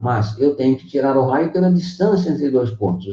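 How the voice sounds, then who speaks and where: His pitch swings very widely as a man talks. The tone is dark and mellow, and somewhat breathy. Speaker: math teacher. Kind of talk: online lecture.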